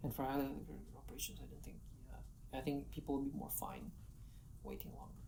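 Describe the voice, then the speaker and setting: Talking at a very fast pace with a non-native accent, a woman swings widely in loudness while audible room echo surrounds her. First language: not English. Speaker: software engineer. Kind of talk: live AMA interview. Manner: halting, many restarts.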